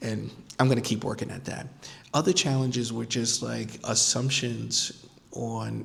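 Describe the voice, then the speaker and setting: A man with an American accent has an ordinary speaking voice at medium pitch. His pace is fairly slow and his intonation fairly even. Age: 40s. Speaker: podcast host, life design consultant. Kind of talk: casual vlog monologue. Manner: conversational, many fillers and repetitions.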